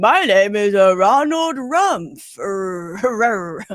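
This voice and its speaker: Doing a put-on character voice, a man speaks at a high pitch with lively intonation. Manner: mocking.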